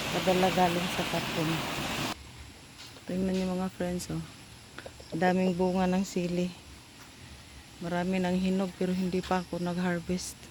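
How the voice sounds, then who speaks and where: Long, frequent pauses break up a monotone, flat delivery, heard with audible room echo and noticeable background noise. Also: woman, medium pitch for a woman, moderate pace. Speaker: vlogger. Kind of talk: casual vlog narration.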